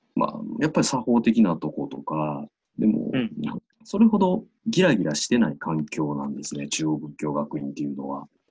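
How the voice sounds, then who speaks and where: A man with a Kansai accent and big swings in loudness. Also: moderate pace. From Osaka, Japan. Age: 30s. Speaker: Buddhist priest. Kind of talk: interview.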